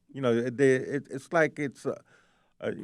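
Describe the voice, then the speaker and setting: A man's voice comes through on a very clean recording, the background silent. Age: 60s. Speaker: army veteran, rehab patient. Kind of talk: interview. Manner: halting, many fillers.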